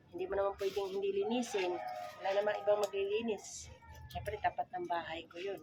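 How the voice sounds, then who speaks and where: A soft-spoken woman talks at a fairly quick pace over noticeable background noise. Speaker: cooking vlogger. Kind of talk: casual cooking vlog. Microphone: no microphone, voice quiet.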